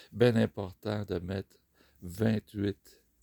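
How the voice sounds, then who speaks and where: Recorded dry and close with no echo, a man speaks at a fairly low pitch with vocal fry and fairly even intonation. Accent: Quebec. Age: 60s. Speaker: motorcycle rider. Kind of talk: casual talk to camera.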